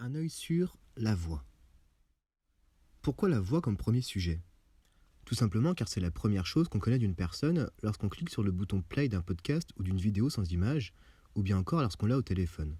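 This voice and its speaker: Soft-spoken and somewhat breathy, a man with a dark, mellow tone and fairly low pitch speaks at a moderate pace with very wide pitch swings and long, frequent pauses on a very clean recording with a silent background. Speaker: video essayist. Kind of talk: scripted narration.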